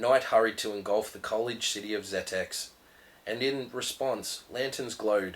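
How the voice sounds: What we hear is a natural reading voice.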